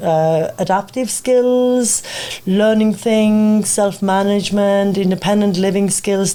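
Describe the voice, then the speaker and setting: A woman with a non-native accent speaks at a fairly slow pace, her medium-pitched voice keeping a fairly even intonation. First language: not English. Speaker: behavioural psychologist, clinic founder. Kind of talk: radio interview. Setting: radio studio.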